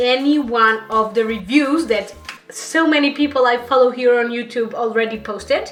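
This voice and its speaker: Over music in the background and audible room echo, a woman with a Portuguese accent uses a raised, projected, high voice at a fairly slow pace with ordinary pitch variation. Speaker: beauty YouTuber. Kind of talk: makeup review vlog. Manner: halting.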